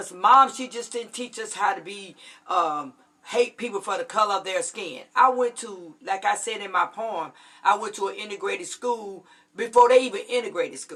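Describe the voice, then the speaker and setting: At a moderate pace, a woman speaks with a fairly high pitch, ordinary pitch variation, and big swings in loudness. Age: 60s. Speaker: army veteran and poet. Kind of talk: casual chat. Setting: livestream. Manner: halting.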